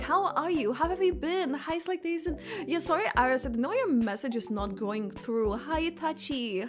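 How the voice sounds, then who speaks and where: A woman with a Lithuanian accent at a moderate pace, her pitch swinging very widely, with music in the background. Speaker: gaming streamer. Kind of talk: casual livestream chat. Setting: livestream. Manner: animated.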